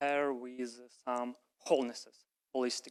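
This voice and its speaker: A man with a non-native accent speaks in a dry, close sound with no echo. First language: not English. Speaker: audience member. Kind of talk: audience question.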